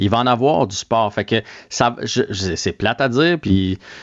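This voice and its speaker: A man with ordinary pitch variation, dry, close sound with no echo and a quiet background. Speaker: sports commentator. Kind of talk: casual chat. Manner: animated.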